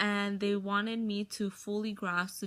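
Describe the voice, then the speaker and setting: A woman talks at a fairly slow pace. She has a slight Spanish accent. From US, Mexican-American family. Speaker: college student. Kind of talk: personal testimony.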